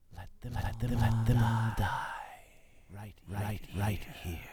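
A man whispers in a put-on character voice. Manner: eerie, ominous.

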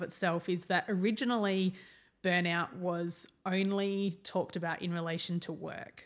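The recording is spotless, set against total silence. In it, a woman talks with an Australian accent. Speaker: counsellor and speaker. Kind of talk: podcast interview.

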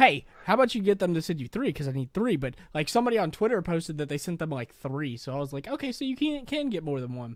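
This man talks at a very fast pace with hardly any pauses, his high pitch swinging very widely. The recording is very clean, with a silent background. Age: 20s. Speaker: podcast co-host and YouTuber. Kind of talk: casual chat.

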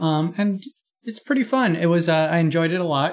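A man speaks in an ordinary speaking voice with an American accent. His pitch variation is ordinary. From rural Pennsylvania. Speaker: podcast guest. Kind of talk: casual chat.

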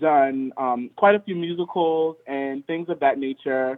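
Fairly even intonation from a man with an American accent. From Richmond, Virginia. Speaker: dance studio co-owner and choreographer. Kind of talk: interview. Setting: phone call.

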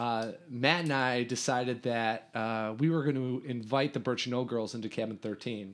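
A man speaks in an unremarkable speaking voice at medium pitch. His intonation stays fairly even, and his pace is moderate. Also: hardly any pauses. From US Midwest, Chicago north suburbs. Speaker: former camper and camp staff. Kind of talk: casual interview chat.

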